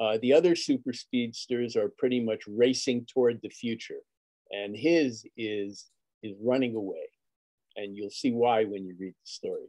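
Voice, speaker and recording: A man speaks at a moderate pace in a dark, mellow tone, with ordinary pitch variation. His loudness swings widely against a quiet background. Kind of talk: panel discussion. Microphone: video call.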